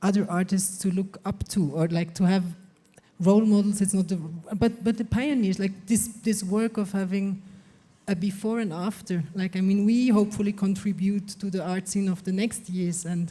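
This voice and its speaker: A woman with a medium-pitched, dark and mellow voice speaks at a moderate pace, somewhat breathy, with fairly even intonation. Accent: non-native. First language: not English. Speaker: visual artist. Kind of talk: panel discussion.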